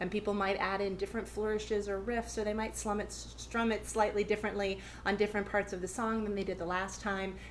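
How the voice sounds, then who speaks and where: Barely stopping for any pauses, a woman talks at a very fast pace. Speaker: ukulele teacher. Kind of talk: tutorial. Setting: live stream session.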